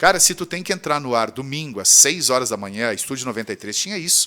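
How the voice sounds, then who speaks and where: On a very clean recording with a silent background, a man with a medium pitch sounds animated, his tone bright and sharp. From southern Brazil, Rio Grande do Sul. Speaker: radio presenter and teacher. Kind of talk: casual interview chat. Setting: studio.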